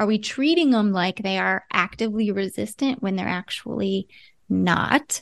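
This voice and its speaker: An unremarkable speaking voice from a woman with an American accent, moderate in pace, with ordinary pitch variation and a quiet background. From US Midwest, Ohio. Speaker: psychologist, relationship expert. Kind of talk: interview.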